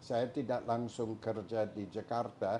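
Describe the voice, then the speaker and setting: Dark and mellow in tone, a man's medium-pitched voice moves at a fairly slow pace. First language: English (speaking Indonesian). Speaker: historian and academic. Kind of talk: interview. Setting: at his home. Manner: halting.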